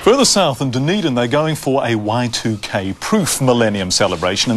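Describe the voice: A man talking at a moderate pace over faint background noise. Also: fairly bright tone.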